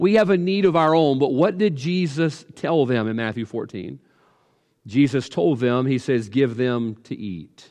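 A man in a Southern US accent talks at a fairly slow pace, his medium pitch swinging very widely. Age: 40s. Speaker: pastor. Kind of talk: sermon. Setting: livestream.

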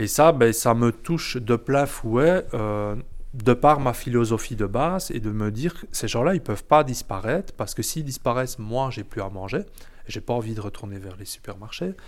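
Delivered at a moderate pace, a plain, everyday voice shows big swings in loudness and lively intonation. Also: man, medium pitch for a man. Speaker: chef and restaurant owner. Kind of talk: interview. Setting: in his restaurant kitchen.

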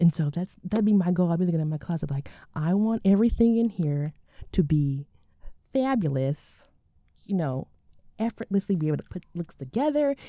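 A woman with an American accent talks at a fairly quick pace with long, frequent pauses, her fairly low pitch swinging very widely. Her tone is dark and mellow, and the sound is dry and close with no echo. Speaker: podcast host. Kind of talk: casual chat between sisters. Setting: recorded live at a library. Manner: playful, goofy.

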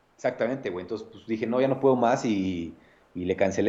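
With a Mexico City accent, a man talks in a dark, mellow tone at a fairly low pitch. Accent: central Mexican Spanish, Mexico City area. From Mexico, Nezahualcóyotl (State of Mexico). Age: 30s. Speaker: bartender / mixologist. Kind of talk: casual chat.

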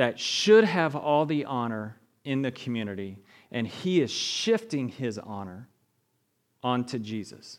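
In a very clean recording with a silent background, a man talks at a fairly slow pace. His pitch sits in the medium range but swings very widely. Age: 40s. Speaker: lay preacher. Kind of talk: sermon. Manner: halting.

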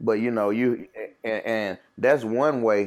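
A man with a Mississippi accent on a very clean recording with a silent background. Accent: US South (Mississippi). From Jackson, Mississippi. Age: 30s. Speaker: school behavior specialist. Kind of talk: casual chat.

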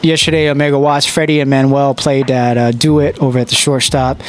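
Background noise is noticeable throughout. A man delivers his words at a fairly quick pace. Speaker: radio host. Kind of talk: live radio show hosting. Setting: studio. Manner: animated.

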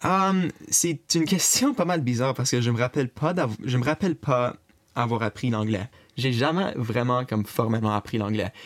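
A man with a plain, everyday voice and medium pitch talks at a moderate pace with lively intonation and very even loudness. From Brockville, Eastern Ontario, Canada. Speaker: interviewee, family member. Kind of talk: interview.

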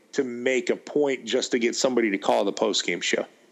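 A man speaks with an American accent in a plain, everyday voice. His pitch is medium with ordinary variation, and the background is quiet. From Western New York. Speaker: sports radio host. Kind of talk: casual interview.

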